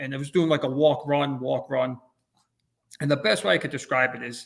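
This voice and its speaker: Talking in a normal speaking voice with an American accent, a man keeps a fairly high pitch and fairly even intonation at a fairly quick pace. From New Jersey. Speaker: realtor, ultrarunner. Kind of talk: interview answer.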